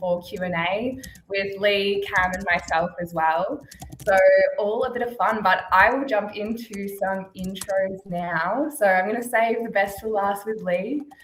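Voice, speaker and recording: Over noticeable background noise, a woman with an Australian accent speaks at a medium pitch with fairly even intonation. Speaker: channel success manager, webinar host. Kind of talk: webinar presentation. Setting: video webinar.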